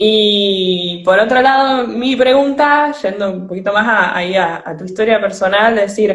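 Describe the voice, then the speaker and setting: At a medium pitch, a woman talks at a fairly slow pace with hardly any pauses. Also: ordinary pitch variation. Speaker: podcast host. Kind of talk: live-streamed interview. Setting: online live stream.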